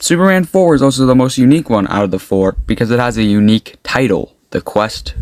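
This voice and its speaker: A man with a medium-pitched voice talks with lively intonation in a dry, close sound with no echo. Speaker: YouTube movie reviewer. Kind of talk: casual movie review monologue. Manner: fast.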